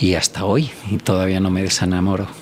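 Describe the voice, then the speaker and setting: In a plain, everyday voice, a man talks at a moderate pace with a fairly low pitch. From Spain, rural coastal village. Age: 60s. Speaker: doctor and environmental researcher. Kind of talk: podcast interview.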